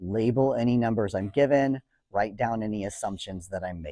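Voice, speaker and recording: Over a quiet background, a man with an American accent speaks at a moderate pace in a dark, mellow tone, medium pitch and lively intonation, with a dry, close sound and no echo. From California. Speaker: teacher. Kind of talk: lecture.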